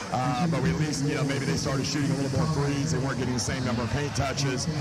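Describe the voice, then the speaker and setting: With music playing in the background, a man speaks at a very fast pace in a fairly high voice, keeping very even loudness and ordinary pitch variation. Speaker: basketball coach. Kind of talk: halftime coach interview answer.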